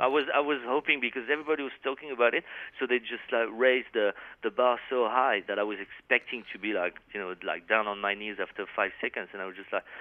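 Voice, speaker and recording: Talking at a very fast pace, a man with a French accent speaks at medium pitch with ordinary pitch variation. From France. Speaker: metal guitarist. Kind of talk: interview.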